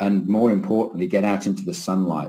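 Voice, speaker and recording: A man with a fairly low voice speaks with fairly even intonation. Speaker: keynote speaker, professor. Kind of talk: lecture. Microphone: webcam.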